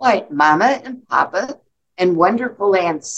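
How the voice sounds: Lively intonation in a natural reading voice, with a quiet background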